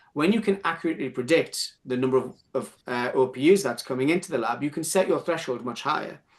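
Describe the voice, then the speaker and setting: A man speaks with a strong northern English accent. His pitch is fairly high, with ordinary pitch variation. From northern England. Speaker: speaker presenting on clinic operations. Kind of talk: webinar panel discussion. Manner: halting, many repetitions and fillers.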